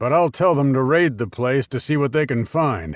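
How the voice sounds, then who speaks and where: In a put-on character voice, a man at a medium pitch speaks with lively intonation at a moderate pace over a quiet background. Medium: read story.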